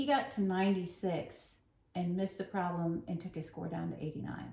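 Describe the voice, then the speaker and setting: The woman's voice is medium in pitch, somewhat breathy, with a dark, mellow tone. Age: old. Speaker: flosstube co-host, cross stitcher. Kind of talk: casual chat.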